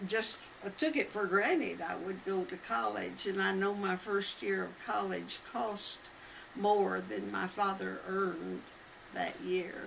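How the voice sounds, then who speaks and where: Speaking at a fairly slow pace, a woman with an American accent is heard over noticeable background noise. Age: 90s. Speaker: elderly interviewee recounting family history. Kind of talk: oral history interview. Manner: halting.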